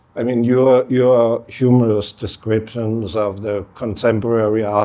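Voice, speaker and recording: A man with a Danish accent, a dark, mellow tone and a fairly low pitch speaks at a fairly slow pace with monotone, flat intonation. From Denmark. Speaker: artist. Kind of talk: panel conversation.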